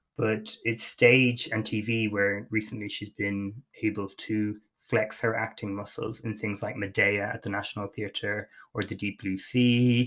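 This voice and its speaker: A man speaks with an Irish accent at a fairly low pitch. His intonation is monotone and flat. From Ireland. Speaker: podcast host. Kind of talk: casual chat.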